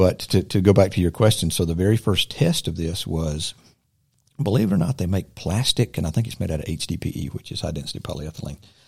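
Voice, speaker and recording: With a Southern US accent, a man talks at a very fast pace in a very deep, low pitch that is somewhat breathy. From Silver Creek, US South. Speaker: inventor and army veteran. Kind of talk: casual interview. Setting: studio.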